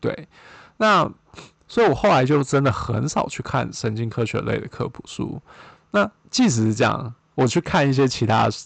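With a Taiwanese accent, a man talks at a moderate pace and medium pitch, showing vocal fry and long, frequent pauses against a quiet background. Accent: Taiwanese Mandarin. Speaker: podcast host, postdoctoral researcher in neuroscience. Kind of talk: solo podcast monologue. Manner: hesitant, many fillers.

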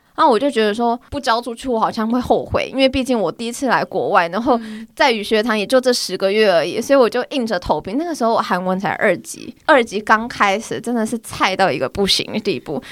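A woman's fairly high voice at a very fast pace, with lively intonation and hardly any pauses. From Taiwan. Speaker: office worker and amateur badminton player. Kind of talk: casual chat.

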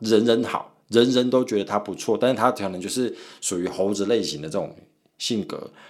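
This is a man with a medium pitch. His pitch variation is ordinary. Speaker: podcast host. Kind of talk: casual chat. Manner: fast.

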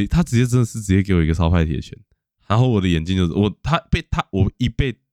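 The speech comes at a very fast pace with lively intonation and an animated tone. The sound is dry and close, with no echo. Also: man. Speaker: podcast host. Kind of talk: casual chat.

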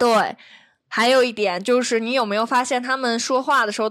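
On a very clean recording with a silent background, a woman speaks at a moderate pace, her fairly high pitch showing ordinary variation. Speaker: podcast host. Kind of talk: casual chat.

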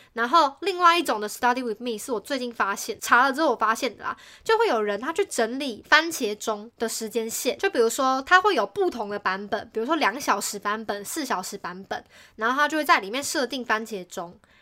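A woman's bright, sharp, high-pitched voice with lively intonation, a fairly quick pace and hardly any pauses. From Keelung, northern Taiwan. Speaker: podcast host. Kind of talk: casual chat.

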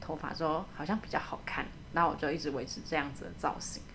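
A woman talks at a very fast pace with vocal fry. Her pitch is fairly low, with ordinary pitch variation. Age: 30s. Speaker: radiographer. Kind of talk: casual interview.

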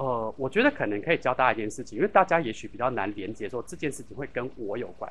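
Speaking very fast with hardly any pauses, a man at medium pitch uses lively intonation and big swings in loudness. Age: 40s. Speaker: LGBT hotline organization secretary-general. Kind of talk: interview.

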